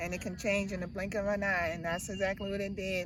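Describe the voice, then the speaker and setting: There is audible room echo as a woman talks at a moderate pace with a medium pitch. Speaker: camper with a tracheostomy. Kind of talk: casual interview.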